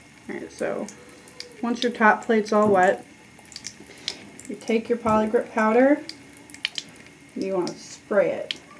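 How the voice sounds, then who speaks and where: A woman with fairly high pitch talks at a fairly slow pace with fairly even intonation, long, frequent pauses and big swings in loudness. Noticeable background noise runs behind her. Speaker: vlogger. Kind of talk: tutorial.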